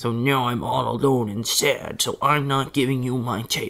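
A man does a put-on character voice. His pitch is medium, and he keeps a moderate pace. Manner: grumpy, huffy, sulking.

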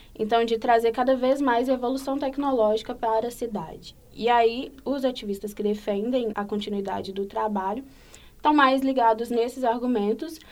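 This woman has a plain, everyday voice, pitched fairly high, and talks at a moderate pace. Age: 20s. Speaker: psychology student and researcher. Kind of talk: podcast interview.

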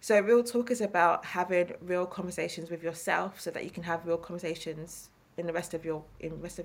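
With an East London accent, a woman talks at a fairly quick pace in a fairly low pitch, her intonation fairly even. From East London, England. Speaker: therapist and author. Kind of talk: interview conversation.

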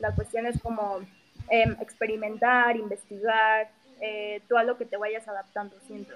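Speaking with a Mexico City accent, a woman uses a fairly high pitch and monotone, flat intonation at a fairly slow pace, with big swings in loudness. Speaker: vegan activist. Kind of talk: interview.

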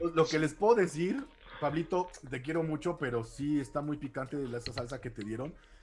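A man's fairly high voice at a fairly quick pace, with ordinary pitch variation and noticeable background noise. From Mexico City. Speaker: martial arts instructor and radio host. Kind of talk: casual chat.

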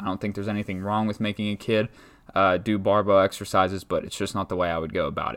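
On a very clean recording with a silent background, a man with a fairly low pitch talks very fast in a monotone, flat intonation. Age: 20s. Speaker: strength coach and podcast host. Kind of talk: solo podcast monologue. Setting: talking into a microphone. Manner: casual, many filler words.

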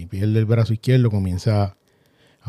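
A man with a Puerto Rican accent speaks in a dark, mellow tone. The recording is very clean and dry, close with no echo and a silent background. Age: 40s. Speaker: accident survivor podcaster. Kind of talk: personal storytelling monologue. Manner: halting.

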